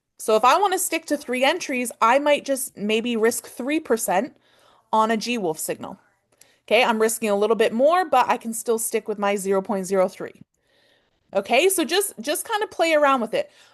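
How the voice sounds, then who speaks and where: A high-pitched woman in a Canadian accent, very wide pitch swings, quiet background. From Canada. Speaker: forex trading teacher. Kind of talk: online class. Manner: fast.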